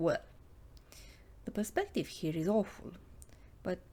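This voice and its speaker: Speaking at a moderate pace, a woman has a dark, mellow tone. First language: not English. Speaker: illustrator and comic artist. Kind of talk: narrated drawing walkthrough. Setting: home studio.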